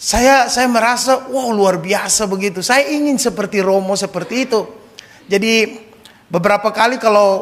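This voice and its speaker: A moderate pace with fairly even intonation. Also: man. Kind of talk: sermon. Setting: church, Mass.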